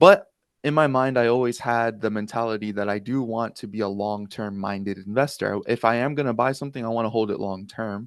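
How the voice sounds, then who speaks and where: A man with an ordinary speaking voice, at medium pitch and a fairly quick pace, with fairly even intonation over a quiet background. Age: 20s. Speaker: crypto content creator. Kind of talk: interview.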